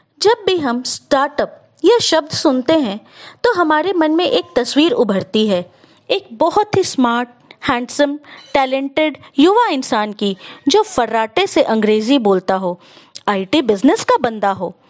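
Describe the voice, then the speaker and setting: Her pitch high, a woman talks with very wide pitch swings. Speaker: storyteller. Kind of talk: inspirational story narration.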